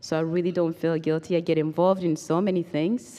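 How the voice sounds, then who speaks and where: Her voice sits very deep and low, with a dark, mellow tone and monotone, flat intonation. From Rwanda. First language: Kinyarwanda or French (not English). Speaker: genocide survivor and human rights advocate. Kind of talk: testimony. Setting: stage with audience. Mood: earnest, reflective. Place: hall. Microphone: handheld.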